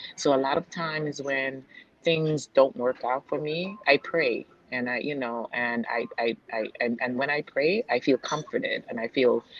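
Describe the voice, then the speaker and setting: Speaking with a slight Jamaican accent, a woman with a very deep, low voice talks at a fairly slow pace with ordinary pitch variation. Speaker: real estate agent and investor. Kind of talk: casual interview chat. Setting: video call from a nail salon.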